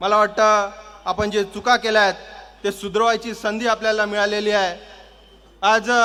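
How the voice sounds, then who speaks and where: A man projects a raised voice at a high pitch, in a monotone, flat intonation. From Kalyan, Maharashtra, India. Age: 20s. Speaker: political party youth official and lawyer. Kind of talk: political rally speech. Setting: public rally with crowd. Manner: loud, rousing oratory.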